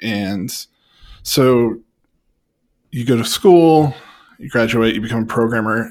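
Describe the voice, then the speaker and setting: This man has an ordinary speaking voice of medium pitch. He talks at a moderate pace with lively intonation. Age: 30s. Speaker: podcast host. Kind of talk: casual chat.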